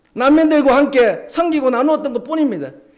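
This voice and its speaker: A voice in a Gyeongsang accent, heard with audible room echo. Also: man. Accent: Gyeongsang dialect, still uses it. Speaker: pastor. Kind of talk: sermon. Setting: church.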